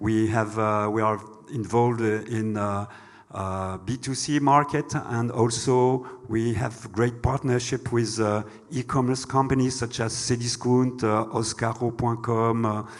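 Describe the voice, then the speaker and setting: In a French accent, a man of medium pitch talks at a fairly slow pace with monotone, flat intonation. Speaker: bank executive. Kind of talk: panel discussion. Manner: halting.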